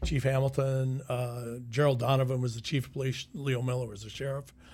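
A man with an American accent speaks in a somewhat breathy voice. His intonation is monotone and flat. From US Midwest (Sioux City, Iowa). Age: 60s. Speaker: retired sheriff. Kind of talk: casual chat. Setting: studio.

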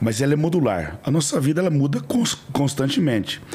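With noticeable background noise, a man speaks at a moderate pace with lively intonation. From rural Brazil. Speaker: franchise entrepreneur. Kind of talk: interview.

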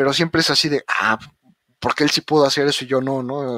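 With a Mexican accent, a man speaks at medium pitch and a moderate pace in a dry, close sound with no echo. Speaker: podcast host, engineer. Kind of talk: casual interview chat.

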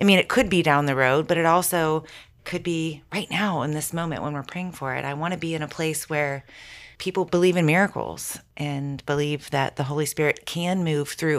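With a very deep, low pitch and an American accent, a woman speaks at a moderate pace on a very clean recording with a silent background. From Ohio, US Midwest. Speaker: teacher. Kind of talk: casual chat. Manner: animated.

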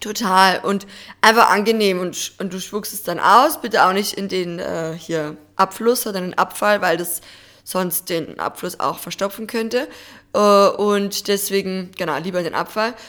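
On a very clean recording with a silent background, a woman speaks at a fairly slow pace and medium pitch, bright and sharp in tone, with ordinary pitch variation and big swings in loudness. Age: 20s. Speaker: podcast co-host. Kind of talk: casual chat.

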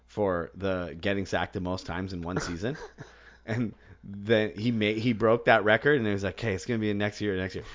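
In an American accent, a man with an unremarkable speaking voice talks at a fairly quick pace, his fairly low pitch held to a fairly even intonation. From Boston, US. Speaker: fantasy football podcast host. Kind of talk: casual chat.

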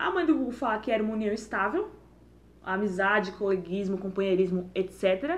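This woman's delivery comes at a moderate pace in a plain, everyday voice. She holds a medium pitch and varies it in an ordinary way. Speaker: podcast co-host. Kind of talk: casual chat.

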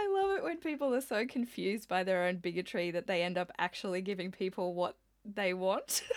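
A woman with an Australian accent speaks at a medium pitch and a fairly quick pace. Her loudness is very even, her pitch varies in an ordinary way, and background noise is noticeable. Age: 30s. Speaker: podcast co-host, visual artist. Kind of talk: casual chat.

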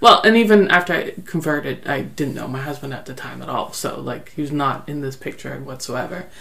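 With noticeable background noise and audible room echo, a woman with a Canadian accent and a very deep, low voice talks at a fairly quick pace with hardly any pauses, lively intonation and big swings in loudness. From Netherlands, raised in Canada. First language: Dutch. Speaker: guest, teacher. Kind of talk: interview, personal story.

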